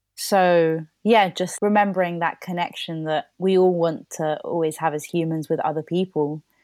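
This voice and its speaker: With a London accent, a woman speaks at a moderate pace and a fairly low pitch, her intonation fairly even and hardly any pauses, in a dry, close sound with no echo on a very clean recording with a silent background. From London, England (born in Colombia). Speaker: playwright. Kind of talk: casual chat.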